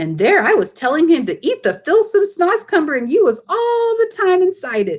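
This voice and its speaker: In a squeaky, put-on character voice, a woman speaks at an extremely high pitch with very wide pitch swings and hardly any pauses. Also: moderate pace. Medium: read story.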